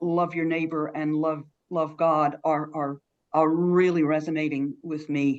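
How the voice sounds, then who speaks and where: Her fairly low pitch and monotone, flat intonation mark a woman with an American accent speaking at a fairly slow pace. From South Carolina. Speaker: church minister. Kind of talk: interview answer.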